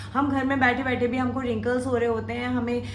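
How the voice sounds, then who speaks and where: A woman with a high voice at a moderate pace, with audible room echo and noticeable background noise. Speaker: makeup tutorial youtuber. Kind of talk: tutorial.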